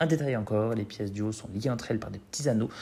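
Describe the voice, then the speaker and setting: A man at a very fast pace with lively intonation. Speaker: drag queen. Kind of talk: humorous narration.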